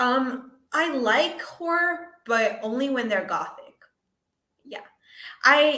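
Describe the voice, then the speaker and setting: A woman with a non-native accent, a high pitch and a bright, sharp tone, lively in intonation, very slow in pace, with long, frequent pauses. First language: not English. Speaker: booktuber, book club co-host. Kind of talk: casual chat.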